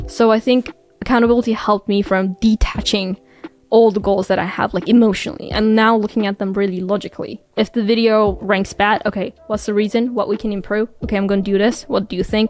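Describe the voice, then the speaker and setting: Talking at a fairly quick pace with a non-native accent, a woman has a fairly high pitch and fairly even intonation. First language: not English. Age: 20s. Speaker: YouTuber and medical student. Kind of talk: casual interview chat.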